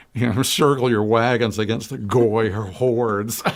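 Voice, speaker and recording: In an unremarkable speaking voice, a man with an American accent talks at a medium pitch with ordinary pitch variation. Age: 60s. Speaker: public access talk show co-host. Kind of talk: casual discussion.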